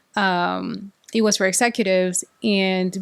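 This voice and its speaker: A woman's medium-pitched voice with fairly even intonation and a slight Salvadoran accent. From El Salvador. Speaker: corporate executive. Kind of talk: interview. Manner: halting, with frequent repetitions.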